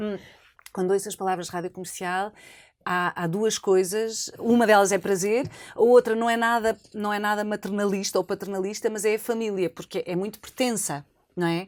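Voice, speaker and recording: A woman with a medium pitch at a moderate pace, with fairly even intonation and long, frequent pauses, in a very clean recording with a silent background. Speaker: former radio host and journalist, now foundation head. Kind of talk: interview answer.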